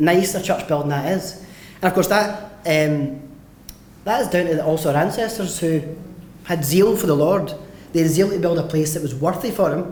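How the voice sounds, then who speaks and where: Audible room echo and noticeable background noise surround a man speaking at a high pitch. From west of Scotland, Mossend, Lanarkshire. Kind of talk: conference talk. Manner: fast.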